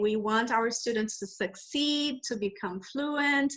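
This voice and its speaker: With a Brazilian Portuguese accent, a woman speaks in a high pitch with ordinary pitch variation. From Brazil, Rio de Janeiro. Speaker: English teacher trainer, entrepreneur. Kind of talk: interview. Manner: halting, with fillers.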